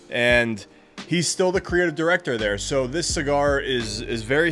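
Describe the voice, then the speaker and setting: Over faint music in the background, a man talks at a fairly quick pace. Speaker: cigar channel host. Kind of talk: product overview chat. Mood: relaxed, enthusiastic. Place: home room.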